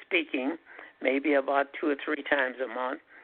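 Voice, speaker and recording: The speaker is a man. His pitch is fairly high. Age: 80s. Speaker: pharmacist and herbalist. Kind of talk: radio interview.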